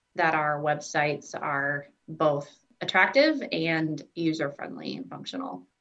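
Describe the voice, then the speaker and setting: Speaking fairly slowly, a woman with a fairly low pitch has lively intonation and an ordinary speaking voice. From US Midwest (southwest Iowa). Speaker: employee of a blindness services organization, blind since birth. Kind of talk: interview.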